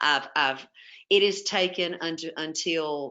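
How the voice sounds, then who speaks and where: A woman with a Southern US accent speaks fairly low and fairly slowly, her intonation fairly even. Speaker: webinar presenter on home health therapy. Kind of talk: webinar presentation. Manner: casual, with many fillers.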